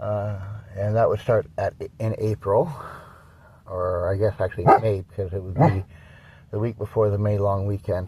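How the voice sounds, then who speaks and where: A Canadian accent at a moderate pace, somewhat breathy with a dark, mellow tone, fairly even intonation, and long, frequent pauses. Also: man, fairly low pitch for a man. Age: 60s. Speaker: dog breeder and vlogger. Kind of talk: casual vlog update. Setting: in a coffee shop. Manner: halting, many fillers.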